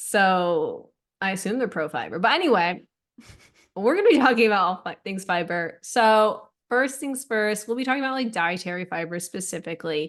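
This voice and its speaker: Against a quiet background, a woman speaks at a moderate pace in a normal speaking voice at a medium pitch. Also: lively intonation. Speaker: dietitian podcast co-host. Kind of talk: casual chat.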